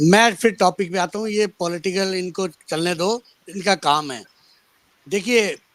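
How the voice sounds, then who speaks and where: High pitch from a male speaker, with ordinary pitch variation. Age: 60s. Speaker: debate panelist. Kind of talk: panel debate.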